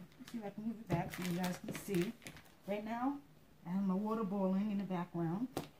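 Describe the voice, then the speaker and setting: A woman talks fairly quickly, her pitch varying in an ordinary way, with noticeable background noise in the recording. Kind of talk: cooking tutorial. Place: kitchen. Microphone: phone near.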